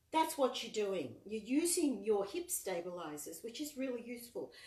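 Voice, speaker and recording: Her pitch rises and falls very widely. This woman's voice sits fairly high. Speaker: online exercise and dance movement instructor. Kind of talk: live fitness class instruction. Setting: live online video session. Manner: soft-spoken.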